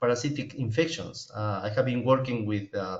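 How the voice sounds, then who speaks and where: A somewhat breathy male voice with audible room echo. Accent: Peruvian. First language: Spanish. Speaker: professor and epidemiologist. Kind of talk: webinar lecture. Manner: slow; halting.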